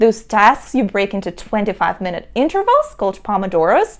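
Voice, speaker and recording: The speaker has a Russian accent. The pace is moderate. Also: woman. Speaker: entrepreneur and productivity vlogger. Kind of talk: tutorial.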